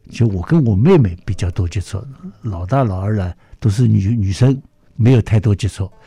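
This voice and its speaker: Somewhat breathy and dark, mellow in tone, the voice keeps a moderate pace with ordinary pitch variation. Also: man, fairly low pitch for a man. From Shanghai, China. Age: 80s+. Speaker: orchestra conductor. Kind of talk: interview. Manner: lively.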